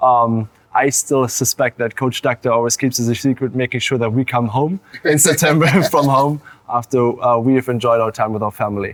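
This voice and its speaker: Speaking at a fairly quick pace, a man talks with a German accent. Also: medium pitch for a man, fairly even intonation, dry, close sound with no echo. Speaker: college swimmer. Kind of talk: interview. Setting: studio.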